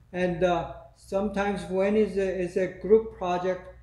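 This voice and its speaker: This man talks at a fairly slow pace in a dark, mellow tone. Room echo is audible. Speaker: lecturer. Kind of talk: lecture. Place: classroom. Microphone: camera far.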